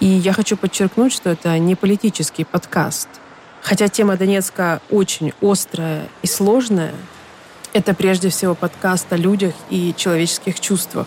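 Against noticeable background noise, a woman speaks at a moderate pace. Her loudness stays very even. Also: medium pitch for a woman, fairly even intonation. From Ukraine, Donetsk. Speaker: podcast host. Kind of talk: scripted narration.

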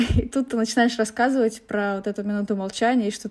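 Talking at a fairly quick pace, a woman has a fairly high pitch and monotone, flat intonation. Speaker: podcast host. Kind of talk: casual interview.

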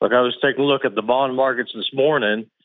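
In a Southern US accent, a man speaks at a medium pitch. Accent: slow Southern drawl. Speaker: caller. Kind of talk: call-in radio comment.

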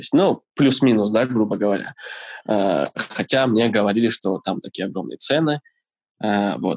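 The delivery has long, frequent pauses and ordinary pitch variation, with a dry, close sound and no echo. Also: man, fairly low pitch for a man, moderate pace. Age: 20s. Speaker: barista. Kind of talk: interview. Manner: hesitant, many fillers.

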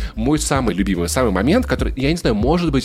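Talking at a fairly quick pace, a man is heard against noticeable background noise. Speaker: podcast host. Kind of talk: casual chat.

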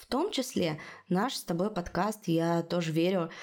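Very slowly and with ordinary pitch variation, a woman speaks on a very clean recording with a silent background. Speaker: podcast host, journalist. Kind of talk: casual chat, news discussion.

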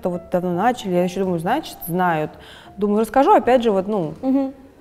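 With lively intonation, a woman talks at a very fast pace over noticeable background noise. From Russia. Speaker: fashion designer. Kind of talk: interview.

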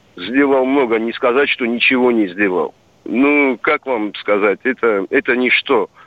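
There is noticeable background noise as a man speaks at a very slow pace. His pitch is medium, with ordinary variation. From Dagestan, Russia. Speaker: caller. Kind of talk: phone-in question. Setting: phone call. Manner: halting.

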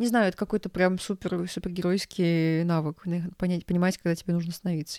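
A woman speaks at a very fast pace with a fairly low pitch and a dark, mellow tone. The sound is dry and close, with no echo. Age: 20s. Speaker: podcast co-host. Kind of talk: casual chat.

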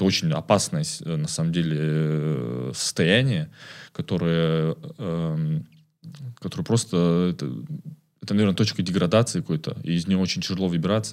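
A man's very deep, low voice at a moderate pace, with lively intonation and long, frequent pauses. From Kazakhstan, Karaganda. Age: 20s. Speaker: community manager. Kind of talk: casual chat.

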